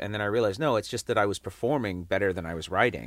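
A man speaks at a very fast pace with an American accent and a fairly low pitch. The recording is very clean, with a silent background. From England. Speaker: comedian. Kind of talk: casual chat. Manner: halting, with frequent repeated words; profane, casual.

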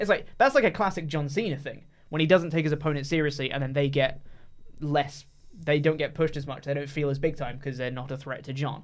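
A man with an English accent talks at a very fast pace. His voice is fairly high, with fairly even intonation. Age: 20s. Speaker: wrestling podcast co-host. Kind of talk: casual chat.

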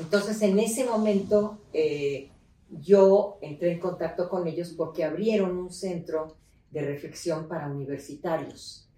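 A woman's fairly low voice at a fairly slow pace, with ordinary pitch variation and audible room echo. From Mexico City, raised in León, Guanajuato. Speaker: politician and feminist activist. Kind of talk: interview. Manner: animated, halting with repetitions.

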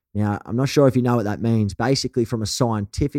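A man talks with a strong Australian accent at a fairly quick pace. His tone is dark and mellow, with ordinary pitch variation. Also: dry, close sound with no echo. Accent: broad Australian. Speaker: podcast host. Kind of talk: interview conversation. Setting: video call. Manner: animated.

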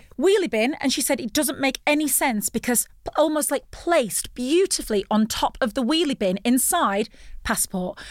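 This woman speaks in an English accent at a high pitch and moderate pace, her tone animated with very wide pitch swings. The sound is dry and close, with no echo. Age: 40s. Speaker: former TV presenter and voiceover artist. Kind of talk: casual chat.

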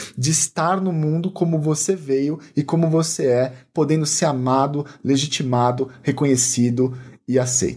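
A man's fairly high, somewhat breathy voice with ordinary pitch variation. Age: 30s. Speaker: health professional. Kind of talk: interview conversation.

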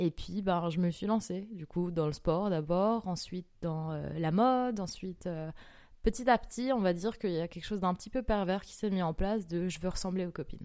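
Recorded very cleanly against a silent background, a woman speaks with a plain, everyday voice. Her medium pitch shows ordinary variation at a moderate pace. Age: 20s. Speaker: golf course manager. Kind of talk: testimony.

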